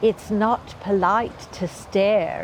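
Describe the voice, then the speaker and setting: Over clear background noise, a female-sounding voice at a medium pitch puts on a whiny character voice. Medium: read story. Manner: whining.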